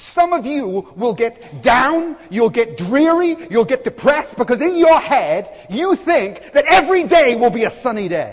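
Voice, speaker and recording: Over noticeable background noise, a man with an extremely high pitch and an animated tone talks at a fairly slow pace with hardly any pauses and very wide pitch swings. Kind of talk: sermon. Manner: animated, punchy, with humorous asides; earnest, urgent, exhorting the congregation.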